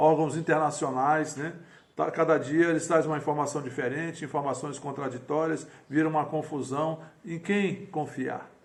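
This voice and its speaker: Audible room echo surrounds a man's fairly high voice. He speaks at a moderate pace with fairly even intonation. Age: 60s. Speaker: pastor. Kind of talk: sermon. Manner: halting.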